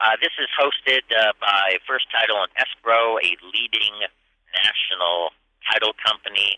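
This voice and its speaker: At a fairly slow pace, a man with an unremarkable speaking voice talks at medium pitch, with fairly even intonation and very even loudness. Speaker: radio show host. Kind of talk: live radio broadcast, interviewing guests. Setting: conference booth with crowd noise.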